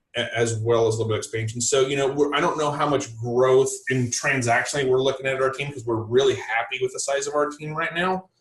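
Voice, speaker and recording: A somewhat breathy man with an American accent talks at a very fast pace with hardly any pauses. His intonation is fairly even. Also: medium pitch for a man. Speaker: real estate team leader. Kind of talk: podcast interview. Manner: halting, many repeated words and fillers.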